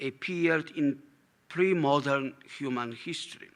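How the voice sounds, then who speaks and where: Over a quiet background, a man with a Polish accent speaks with ordinary pitch variation. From Poland. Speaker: philosophy professor. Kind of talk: lecture read from a prepared text. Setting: conference hall with audience. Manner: formal; halting.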